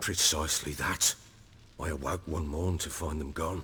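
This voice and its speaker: A man's put-on character voice, raspy and very deep, monotone and flat at a moderate pace, over clear background noise. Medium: video game. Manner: commanding, blunt.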